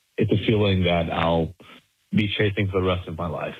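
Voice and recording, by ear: A man speaks at a low pitch and a moderate pace. His voice has a slightly husky edge and fairly even intonation.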